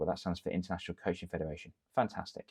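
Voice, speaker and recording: This is a man. He speaks with an English accent. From England. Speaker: confidence coach, ex-teacher. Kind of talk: tutorial. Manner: animated.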